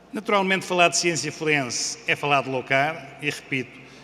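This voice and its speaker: A man with a European Portuguese accent, against noticeable background noise. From Portugal. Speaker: senior police official. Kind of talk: conference talk. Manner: formal.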